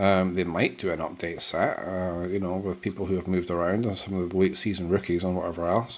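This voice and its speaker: Talking very fast with hardly any pauses, a man delivers his words in a very deep, low, flat monotone over a very clean recording with a silent background. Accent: British. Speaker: podcast co-host. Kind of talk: casual chat. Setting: live stream.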